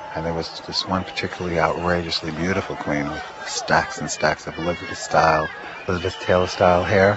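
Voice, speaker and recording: Crowd noise fills the background. A man speaks at a very fast pace. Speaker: eyewitness of the riots. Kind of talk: interview recollection.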